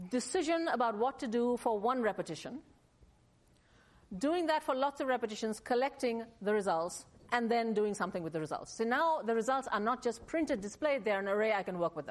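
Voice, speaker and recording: A woman with a normal speaking voice talks at a fairly quick pace and a fairly high pitch. Her intonation is lively, and the recording is very clean with a silent background. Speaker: university lecturer. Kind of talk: lecture.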